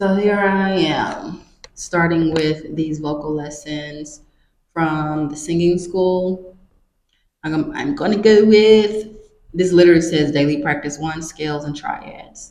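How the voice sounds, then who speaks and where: Audible room echo surrounds a woman's fairly low voice as she speaks at a very slow pace with fairly even intonation. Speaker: vlogger. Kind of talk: casual vlog. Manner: casual, conversational.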